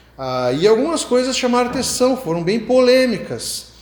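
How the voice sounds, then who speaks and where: Over noticeable background noise and audible room echo, a man speaks with lively intonation. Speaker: pastor. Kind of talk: sermon.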